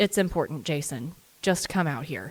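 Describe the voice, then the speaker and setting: A put-on character voice is used here. It sits at a middle pitch and keeps a moderate pace. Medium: read story. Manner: calm but urgent.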